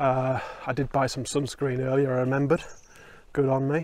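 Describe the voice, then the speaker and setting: A man with a Yorkshire accent speaks at a moderate pace and a fairly high pitch. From Yorkshire, northern England. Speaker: hiking vlogger. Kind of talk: casual vlog to camera. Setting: outdoors on a mountain trail. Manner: casual, hesitant with fillers.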